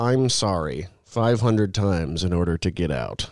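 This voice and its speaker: The speaker is a man talking at a fairly slow pace. The recording is very clean, with a silent background. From Missouri, US Midwest. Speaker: political podcast panelist. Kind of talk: casual panel chat.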